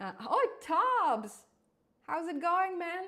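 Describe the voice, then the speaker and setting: A woman speaks in an animated tone with a slight non-native accent. Her pitch swings very widely, and vocal fry shows up in her voice. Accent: slight foreign. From Israel, born in Crimea. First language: Russian. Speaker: programming YouTuber. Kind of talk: live stream tutorial. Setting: live stream.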